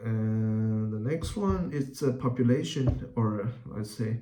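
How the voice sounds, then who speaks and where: Somewhat breathy and medium in pitch, a man with a Chinese accent talks with fairly even intonation. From Taiwan (Taipei). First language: Mandarin Chinese. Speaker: YouTuber. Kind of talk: casual vlog talk. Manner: halting, many fillers.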